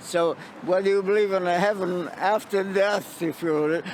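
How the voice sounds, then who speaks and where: A man speaks with a high voice. There is noticeable noise in the background. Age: 90s. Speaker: protester. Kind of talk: street interview. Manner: halting.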